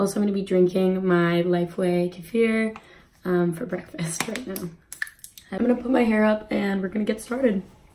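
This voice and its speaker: Noticeable background noise sits under the speech. The pace is moderate, and the pitch varies in an ordinary way. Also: woman, medium pitch for a woman. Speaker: beauty vlogger. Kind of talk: makeup tutorial. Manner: casual, filler-heavy.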